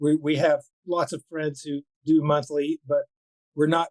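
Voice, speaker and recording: A man speaks at a fairly high pitch in a monotone, flat intonation. The sound is dry and close, with no echo. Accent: American. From Florida. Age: 70s. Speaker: violinist. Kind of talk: interview. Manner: halting.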